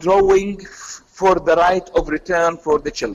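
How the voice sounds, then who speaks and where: A man speaks with an Arabic accent at a fairly slow pace. His pitch varies in an ordinary way. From Palestinian, based in Jordan. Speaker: youth activist. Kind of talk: radio interview.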